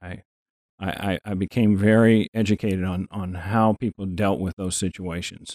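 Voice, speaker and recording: Fairly low pitch from a man at a moderate pace, fairly even intonation, dry, close sound with no echo. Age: 60s. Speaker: fitness enthusiast with Parkinson's disease. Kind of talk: casual interview. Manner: halting, frequent repetitions.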